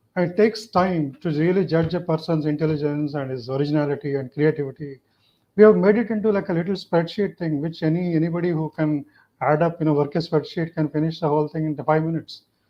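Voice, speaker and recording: Speech comes at a very fast pace in a Telugu accent, with fairly even intonation. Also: man, fairly high pitch for a man. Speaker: neuroscience professor. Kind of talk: panel discussion.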